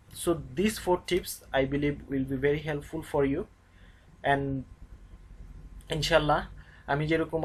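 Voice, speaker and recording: The speaker has a Bengali accent. The pace is moderate. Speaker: YouTube English teacher. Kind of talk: tutorial. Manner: halting, frequent fillers.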